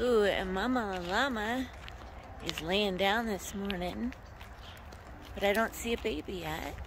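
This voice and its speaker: Over noticeable background noise, a woman talks at a fairly slow pace with fairly even intonation, the sound dry with no echo. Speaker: travel vlogger. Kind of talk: casual vlog chat. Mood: calm, reflective, soft. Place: open country. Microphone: phone near.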